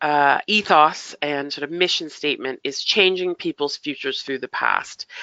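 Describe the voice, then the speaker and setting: This woman speaks with a Canadian accent. Her pace is fairly slow. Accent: Canadian, noticeable to UK listeners. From Canada, Toronto. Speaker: heritage funding consultant. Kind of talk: webinar presentation. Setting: online webinar. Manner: hesitant, many fillers.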